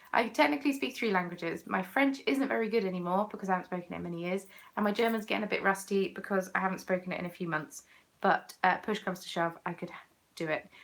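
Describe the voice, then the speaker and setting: Putting on a character voice, a woman talks very fast in a raspy voice at a medium pitch. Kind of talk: polite, professional.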